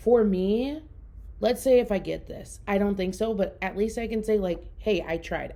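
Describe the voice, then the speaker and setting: A woman with a Minnesotan accent talks at a fairly quick pace. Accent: Minnesota. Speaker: podcast host. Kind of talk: casual solo podcast talk.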